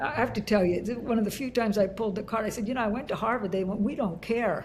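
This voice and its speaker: A woman talks at a very fast pace with a fairly high pitch and ordinary pitch variation. Her voice is somewhat breathy. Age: 70s. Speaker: leadership and workforce consultant. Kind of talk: interview conversation.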